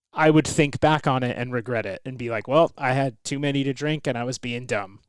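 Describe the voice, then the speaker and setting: The speaker moves at a fairly quick pace. The intonation stays fairly even. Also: man, medium pitch for a man. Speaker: podcast guest, host's husband. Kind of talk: casual chat. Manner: loud.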